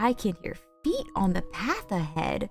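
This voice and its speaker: A woman uses a put-on character voice at a medium pitch. Faint music plays in the background as she keeps a moderate pace. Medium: virtual streamer.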